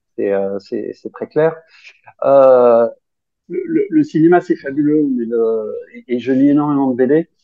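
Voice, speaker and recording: Very slowly, a man talks in a fairly high voice with ordinary pitch variation. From France, Grenoble. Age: 50s. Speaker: science fiction author. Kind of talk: casual interview.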